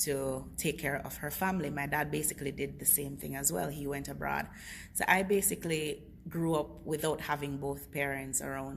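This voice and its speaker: A woman speaks at a moderate pace with a very deep, low pitch and vocal fry. Audible room echo surrounds her voice. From Jamaica, Kingston. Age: 20s. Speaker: network marketing director. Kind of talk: testimony; sales pitch. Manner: enthusiastic.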